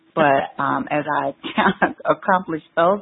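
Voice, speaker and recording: With an American accent, this woman speaks at a fairly slow pace in a very deep, low pitch, her intonation fairly even. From Chicago, US Midwest. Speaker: educator and empowerment speaker. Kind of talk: podcast interview.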